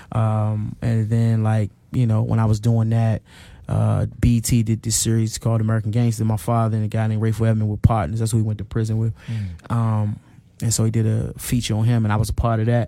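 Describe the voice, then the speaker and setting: A man at a fairly quick pace and medium pitch, with a dark, mellow tone and monotone, flat intonation. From Washington D.C. (Northwest). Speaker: author and activist against mass incarceration. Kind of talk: casual interview conversation.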